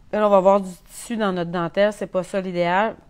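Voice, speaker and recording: A woman with a Quebec accent, fairly even intonation and a moderate pace. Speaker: sewing instructor. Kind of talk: tutorial. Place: workshop. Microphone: lapel.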